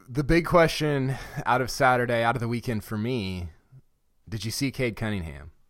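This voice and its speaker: A man with an unremarkable speaking voice, a medium pitch and lively intonation talks at a moderate pace on a very clean recording with a silent background. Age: 30s. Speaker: podcast host. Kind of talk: casual chat.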